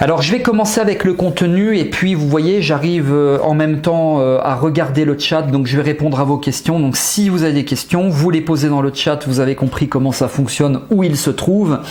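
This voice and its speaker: Over noticeable background noise, a man with a fairly high voice speaks with hardly any pauses, very even loudness and ordinary pitch variation. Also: moderate pace. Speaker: hypnotherapist and trainer giving a webinar. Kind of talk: live webinar presentation. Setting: livestream with chat.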